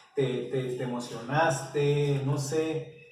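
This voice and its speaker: A man with a fairly high pitch speaks with fairly even intonation. Room echo is audible. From Mexico, Oaxaca (Isthmus). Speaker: interviewer. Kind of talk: interview.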